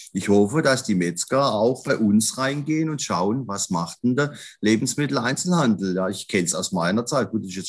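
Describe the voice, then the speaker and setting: Over a very clean recording with a silent background, a man with an unremarkable speaking voice talks at a moderate pace with lively intonation. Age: 50s. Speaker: grocery retail executive, trained butcher. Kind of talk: podcast interview.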